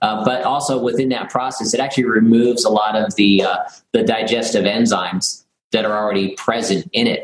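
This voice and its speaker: A man speaks at a moderate pace. His pitch sits in the medium range. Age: 40s. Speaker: health and fitness product developer. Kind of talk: casual interview. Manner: halting, many repetitions and fillers.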